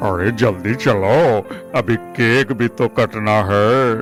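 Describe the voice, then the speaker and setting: A man's cartoonish character voice at medium pitch and very slow pace, with clear music in the background. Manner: excitable.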